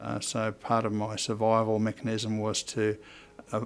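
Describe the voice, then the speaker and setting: Fairly slow speech from a man in an Australian accent. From Australia, Upper Hunter, New South Wales. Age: 70s. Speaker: mental health consumer representative. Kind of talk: personal testimony. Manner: halting, many fillers.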